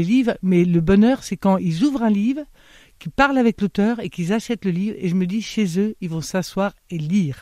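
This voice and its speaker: Recorded very cleanly against a silent background, with a dry, close sound and no echo, a woman speaks at a moderate pace and medium pitch in a dark, mellow tone with lively intonation. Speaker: bookseller. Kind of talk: radio interview. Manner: hesitant, many filler sounds.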